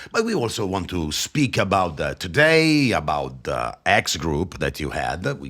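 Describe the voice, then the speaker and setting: A man's very deep, low voice in an Italian accent, fairly slow yet with hardly any pauses, and very wide pitch swings. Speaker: podcast host. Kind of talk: interview. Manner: halting.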